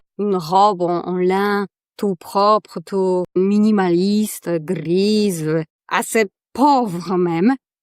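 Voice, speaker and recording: In a strong Polish accent, a woman speaks at a medium pitch, the sound dry and close with no echo. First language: Polish (speaking French). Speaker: podcast host, negotiation coach. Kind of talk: podcast monologue, telling a joke. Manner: halting, many repetitions and fillers.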